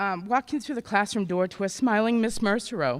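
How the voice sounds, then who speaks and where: Loud and at a fairly quick pace, a woman speaks at a medium pitch with ordinary pitch variation, in a very clean recording with a silent background. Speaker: adult education graduate. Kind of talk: graduation speech. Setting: auditorium ceremony with audience.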